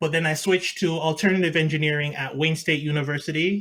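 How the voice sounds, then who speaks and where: A man with a Jamaican accent talks at a moderate pace, his voice fairly high with a bright, sharp tone. The recording is very clean, with a silent background. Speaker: mechanical engineer. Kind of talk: interview. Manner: halting.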